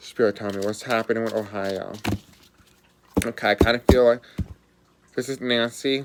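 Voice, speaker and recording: A man at medium pitch and a moderate pace, monotone and flat, with long, frequent pauses and noticeable background noise. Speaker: psychic reader doing a reading. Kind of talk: casual.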